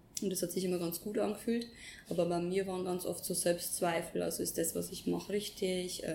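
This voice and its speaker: A woman with a medium-pitched, dark, mellow tone and vocal fry speaks at a fairly quick pace in a monotone, flat delivery. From Upper Palatinate, Bavaria, Germany. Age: 20s. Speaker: former bank employee, yoga teacher trainee. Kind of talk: casual interview. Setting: sitting together in Bali.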